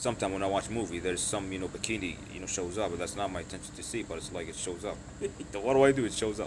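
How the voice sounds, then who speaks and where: A man at a very fast pace, with audible room echo. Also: fairly low pitch for a man, ordinary pitch variation. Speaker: livestreamer. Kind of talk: casual live stream chat answering viewer questions. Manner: hesitant, many fillers.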